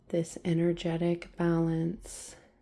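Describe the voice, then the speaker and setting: A woman speaks very slowly in a fairly low pitch. Her tone is dark, mellow and gentle. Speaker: ASMR reiki healer. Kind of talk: guided reiki healing session. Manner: slow, gentle, calming.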